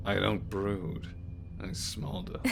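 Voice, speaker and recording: A man's put-on character voice over loud background noise. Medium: audio drama. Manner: terse, dry.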